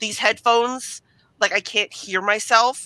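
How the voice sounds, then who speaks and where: Loud and bright, sharp in tone, a woman speaks with ordinary pitch variation in a dry, close sound with no echo on a very clean recording with a silent background. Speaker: streamer. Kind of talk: casual chat. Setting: live stream from home computer room.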